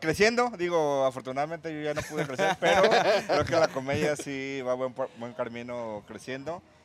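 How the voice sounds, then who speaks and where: An ordinary speaking voice at a moderate pace. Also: man, fairly high pitch for a man. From Guadalajara, Mexico. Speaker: stand-up comedian. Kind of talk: casual interview chat.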